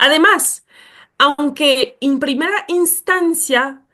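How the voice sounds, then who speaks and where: A woman is speaking. The background is quiet. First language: not Spanish (speaking Spanish). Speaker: speaker on racism and education. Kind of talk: lecture. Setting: webinar. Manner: hesitant, with fillers.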